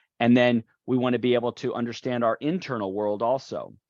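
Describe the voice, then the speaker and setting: In a dry, close sound with no echo and a quiet background, the voice stays in a monotone, flat intonation. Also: man. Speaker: golf performance coach. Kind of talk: webinar presentation. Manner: fast.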